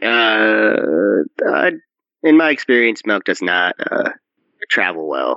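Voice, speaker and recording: In a put-on character voice at medium pitch, a man speaks with long, frequent pauses. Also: fairly slow pace. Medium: actual play. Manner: formal, deliberate.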